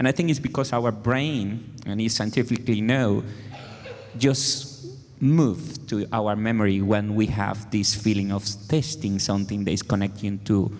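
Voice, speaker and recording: A man with a Spanish accent speaks at a moderate pace in a fairly low pitch, with noticeable background noise behind him. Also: ordinary pitch variation. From Venezuela. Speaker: music educator. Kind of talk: panel discussion.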